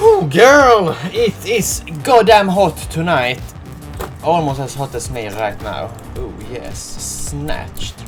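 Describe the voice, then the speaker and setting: Speaking very slowly with big swings in loudness, a man with a Swedish accent talks over music in the background. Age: 20s. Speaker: beauty youtuber. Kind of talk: casual talk to camera.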